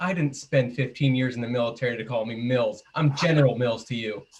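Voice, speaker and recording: Speaking in a put-on, gruff character voice, a man talks at a fairly quick pace with medium pitch and ordinary pitch variation. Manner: gruff, tough.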